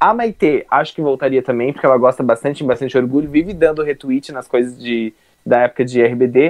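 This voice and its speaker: A man's medium-pitched, plain, everyday voice at a fairly quick pace, with ordinary pitch variation. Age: 20s. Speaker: youtuber, podcast co-host. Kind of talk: casual chat.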